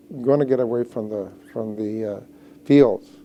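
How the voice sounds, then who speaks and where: A man's dark, mellow voice at a fairly quick pace with ordinary pitch variation. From Washington State, US (Mexican-American family). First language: Spanish. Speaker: health center executive director. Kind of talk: interview testimony. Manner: hesitant, many fillers.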